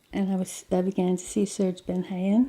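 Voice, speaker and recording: A woman's somewhat breathy voice, medium in pitch, with a dark, mellow tone. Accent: Australian. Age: 60s. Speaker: cancer patient. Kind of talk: interview testimony.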